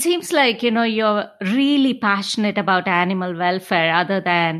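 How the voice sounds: A woman talks at a moderate pace with a medium pitch and ordinary pitch variation. Her tone is fairly bright.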